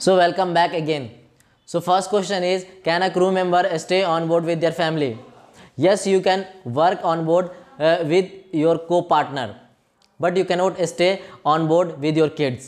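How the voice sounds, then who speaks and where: A man with a high voice speaks at a fairly slow pace, his loudness very even and his intonation fairly even. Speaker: YouTuber giving cruise job advice. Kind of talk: casual Q&A vlog.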